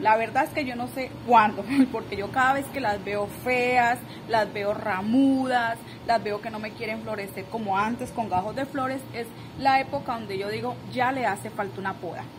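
A woman speaks at a moderate pace with fairly even intonation over noticeable background noise. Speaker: gardening vlogger. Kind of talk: casual vlog chat. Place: garden. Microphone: phone near.

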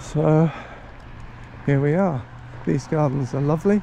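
A man with a fairly high, somewhat breathy voice has a dark, mellow tone. He speaks at a fairly slow pace with lively intonation. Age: 60s. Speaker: walking vlogger. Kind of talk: casual vlog narration while walking. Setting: outdoors.

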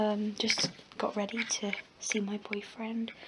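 Loud background noise sits behind the speaker. A woman talks in a monotone, flat intonation. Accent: English. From England. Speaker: vlogger. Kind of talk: casual vlog. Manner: halting. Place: home room. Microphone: phone near.

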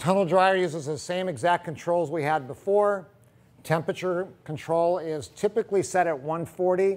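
Pitched high, a man speaks at a moderate pace with ordinary pitch variation. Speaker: equipment demonstrator. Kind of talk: tutorial. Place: workshop.

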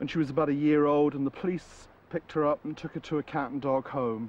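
A man talks at a fairly quick pace. The sound is dry, with no echo. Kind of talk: interview answer. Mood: relaxed, warm storytelling. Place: garden.

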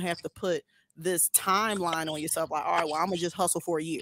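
Recorded with a dry, close sound and no echo, a woman with a fairly low pitch speaks at a fairly quick pace.

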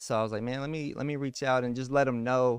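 In a Texan accent, the voice comes through with a dry sound, no echo, and a quiet background. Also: man. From Texas. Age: 30s. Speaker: podcast host. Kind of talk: casual interview. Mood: calm, earnest. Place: home room. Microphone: studio mic.

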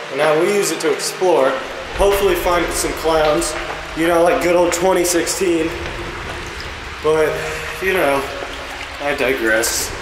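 With noticeable background noise behind him, a man talks at a fairly slow pace, leaving long, frequent pauses. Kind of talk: casual vlog chat. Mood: joking, slightly nervous. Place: tunnel cave. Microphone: phone near.

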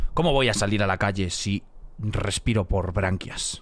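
The man's fairly low-pitched voice moves at a fairly slow pace. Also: dry sound with no echo. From Spain. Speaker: streamer. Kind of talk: casual live stream chat. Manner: animated. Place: home room. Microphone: studio mic.

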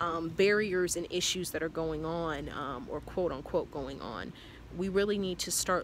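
A woman speaks at a moderate pace, her fairly low voice showing vocal fry. Light background noise can be heard. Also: dry sound with no echo. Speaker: vlogger. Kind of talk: casual vlog chat. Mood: earnest, reflective. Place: garden. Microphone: phone near.

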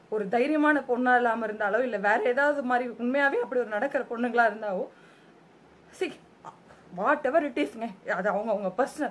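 High-pitched, a woman's voice is heard. Her intonation stays lively throughout. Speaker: TV serial actress. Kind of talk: emotional public statement to camera.

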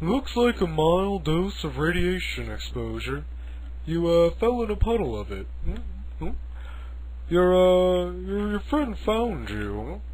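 Very slow pace over clear background noise. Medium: audio drama.

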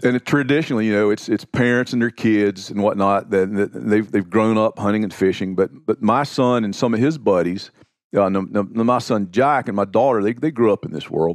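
A man with an American accent and a plain, everyday voice, fairly low in pitch with ordinary pitch variation, talking at a fairly quick pace with hardly any pauses, dry and close with no echo against a quiet background. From US South. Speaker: outdoor writer. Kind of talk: casual chat.

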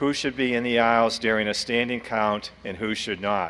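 At a moderate pace, a man is talking. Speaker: meeting moderator. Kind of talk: formal meeting announcements. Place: hall. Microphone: podium.

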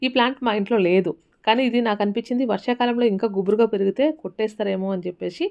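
A woman speaks in an ordinary speaking voice at fairly high pitch with ordinary pitch variation. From Rayalaseema, Andhra Pradesh. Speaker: homemaker vlogger. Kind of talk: casual vlog narration. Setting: at home.

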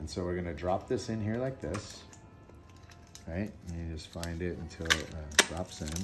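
Faint music plays in the background as a man talks at a fairly slow pace, his very deep, low pitch showing ordinary pitch variation. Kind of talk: tutorial. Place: home room.

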